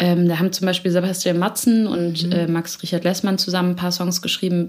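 Over noticeable background noise, a woman with a fairly low pitch talks at a fairly quick pace with hardly any pauses and monotone, flat intonation. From Hamburg area, northern Germany (Elmshorn). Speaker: singer-songwriter. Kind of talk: interview. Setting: studio.

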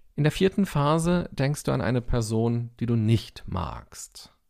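Speaking at a very slow pace, a man uses a soothing, dark, mellow tone with lively intonation. The recording is very clean, with a silent background. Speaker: podcast host and meditation teacher. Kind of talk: guided meditation, calm instructions. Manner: slow, soft-spoken, soothing.

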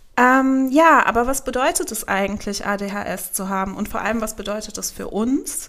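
Delivered at a moderate pace with hardly any pauses, this is a normal speaking voice. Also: woman, fairly high pitch for a woman. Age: 30s. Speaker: magazine editor and podcast host. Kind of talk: casual chat.

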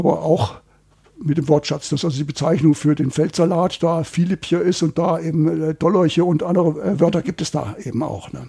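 With an ordinary speaking voice, a man talks at a moderate pace, his pitch fairly high and its variation ordinary. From Hesse, Germany. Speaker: dialect researcher. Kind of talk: interview.

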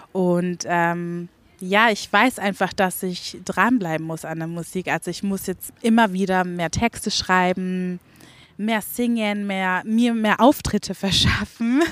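On a very clean recording with a silent background, a woman of medium pitch speaks very slowly with ordinary pitch variation. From Franconia, Fürth. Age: 20s. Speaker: singer. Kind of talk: interview.

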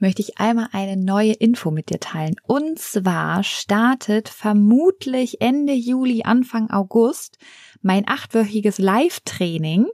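At a very slow pace, a soothing, calm tone carries lively intonation on a very clean recording with a silent background and a dry, close sound with no echo. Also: woman. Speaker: pregnancy coach and psychologist. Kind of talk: guided meditation. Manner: slow, soothing, calm; soft-spoken, gentle.

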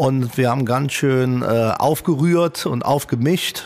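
At a very slow pace, a man talks with a medium pitch and ordinary pitch variation. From Italian heritage. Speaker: hotelier and restaurateur. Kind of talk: casual interview.

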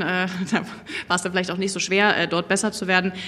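A woman with a medium pitch talks amid noticeable background noise. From Berlin. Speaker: industry association policy lead. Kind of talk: panel discussion.

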